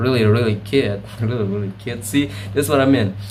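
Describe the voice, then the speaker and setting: A man with an Indonesian accent speaks at a fairly low pitch with ordinary pitch variation. There is audible room echo and noticeable background noise. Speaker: video blogger. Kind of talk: casual monologue. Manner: halting.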